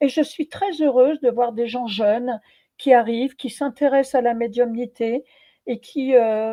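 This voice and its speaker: The speaker is a woman with a high voice. Her intonation stays fairly even. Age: 70s. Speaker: medium and former Zen nun. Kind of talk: interview. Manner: hesitant, many fillers.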